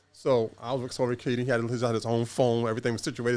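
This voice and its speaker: This speaker talks at a very fast pace with a New York accent. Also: man. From New York City. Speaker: former gang member. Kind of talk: podcast interview.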